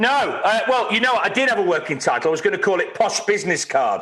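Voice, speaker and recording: Raising and projecting his voice, a man talks at a very fast pace in a bright, sharp tone. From England, Leicester. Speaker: ska musician. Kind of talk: casual chat.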